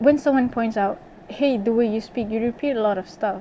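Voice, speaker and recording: A woman speaks with a non-native accent and ordinary pitch variation. Noticeable background noise can be heard. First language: not English. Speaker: YouTuber, English major student. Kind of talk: rant vlog. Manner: animated; repeats phrases, says like a lot.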